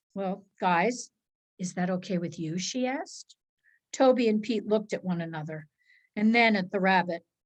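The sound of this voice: With a quiet background, the pitch of an unforced reading voice varies in an ordinary way.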